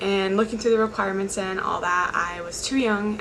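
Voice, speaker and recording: A quiet woman with an American accent, medium pitch, flat monotone intonation and a fairly quick pace, amid noticeable background noise and audible room echo. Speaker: college student speaker. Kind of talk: motivational talk.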